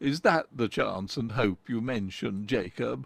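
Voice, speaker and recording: Putting on a character voice, a man talks at a moderate pace and medium pitch with a raspy sound. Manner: faltering, fearful.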